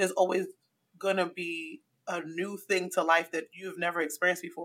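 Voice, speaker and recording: Using a normal speaking voice, a woman talks at a fairly quick pace. Her pitch is medium and her intonation fairly even. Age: 30s. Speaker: podcaster and blogger. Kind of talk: casual chat.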